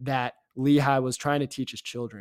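A man with an American accent speaks in a plain, everyday voice at a medium pitch. His intonation is fairly even, and the recording is very clean with a silent background. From Virginia, near Richmond. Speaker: podcast host. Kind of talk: casual religious discussion. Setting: apartment.

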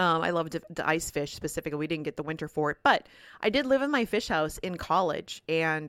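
A woman with a Minnesotan accent talks at a fairly quick pace with fairly low pitch and lively intonation, the sound dry and close with no echo, in a very clean recording with a silent background. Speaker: podcast host and farmer. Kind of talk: casual monologue. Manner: halting, repeats words.

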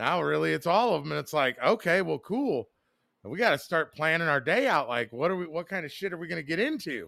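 A man's fairly high, bright, sharp voice with vocal fry, lively intonation and a fairly quick pace, on a very clean recording with a silent background. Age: 40s. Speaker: podcast co-host. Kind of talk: casual chat.

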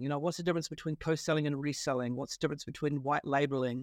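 A man with a New Zealand accent and fairly high pitch, in a very clean recording with a silent background and a dry, close sound with no echo. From New Zealand, Wellington. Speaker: partnership consultant, company founder. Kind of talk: interview. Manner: hesitant, many fillers.

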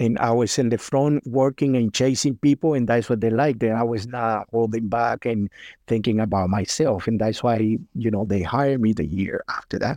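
A man with a Spanish accent talks at a moderate pace and medium pitch, with hardly any pauses, ordinary pitch variation and very even loudness. His tone is dark and mellow, and the sound is dry and close with no echo over a quiet background. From Cuba. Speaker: former pro cyclist. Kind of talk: casual interview chat.

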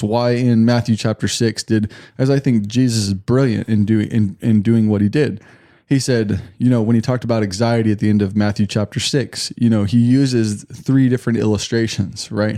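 A man with a dark, mellow tone speaks at a fairly quick pace with fairly even intonation. The recording is very clean with a silent background. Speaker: Bible teacher. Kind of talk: casual chat.

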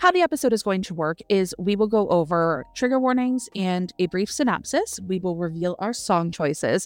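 A woman of medium pitch talks at a moderate pace in a plain, everyday voice. Her intonation is lively, with hardly any pauses. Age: 30s. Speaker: book podcast co-host. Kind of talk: casual chat.

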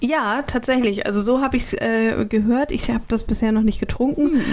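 Noticeable background noise sits behind speech with ordinary pitch variation. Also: woman. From northern Germany, Kiel. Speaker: podcast co-host. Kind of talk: casual chat.

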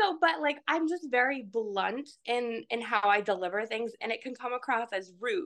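Lively intonation carries an unremarkable speaking voice at a fairly slow pace. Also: woman. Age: 20s. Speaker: hairstylist. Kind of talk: casual chat.

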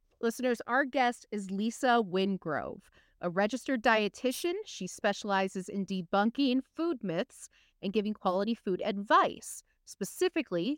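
A woman uses a normal speaking voice at a fairly high pitch with lively intonation, recorded in a dry, close sound with no echo. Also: very clean recording, silent background. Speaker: podcast host. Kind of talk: casual interview.

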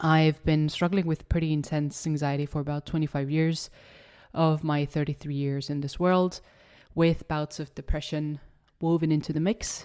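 With a slight Estonian accent, a woman speaks in a very deep, low voice with a dark, mellow tone. Her delivery is monotone and flat at a moderate pace, on a very clean recording with a silent background. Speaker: podcast host. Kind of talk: solo podcast monologue.

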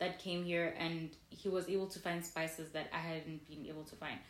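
A woman with a fairly low pitch at a fairly quick pace, in audible room echo. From South Africa. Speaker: podcast co-host. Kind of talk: casual chat.

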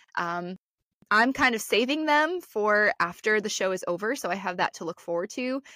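With a Midwestern American accent and lively intonation, the speaker talks at a moderate pace in a dry, close sound with no echo on a very clean recording against a silent background. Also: woman. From Northeast Ohio. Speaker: podcast co-host. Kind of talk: casual chat.

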